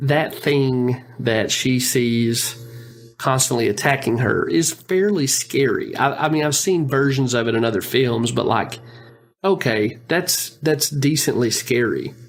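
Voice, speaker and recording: With music in the background, a man at medium pitch speaks at a fairly slow pace, with ordinary pitch variation and very even loudness. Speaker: podcast co-host. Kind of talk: casual podcast discussion.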